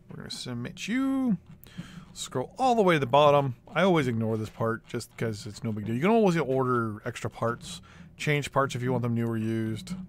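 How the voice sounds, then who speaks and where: A man's unremarkable speaking voice, an unremarkable speaking voice at a medium pitch, with lively intonation and a fairly quick pace. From Canada. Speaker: Lego hobby YouTuber. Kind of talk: screen-recorded tutorial. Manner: casual, thinking aloud with fillers.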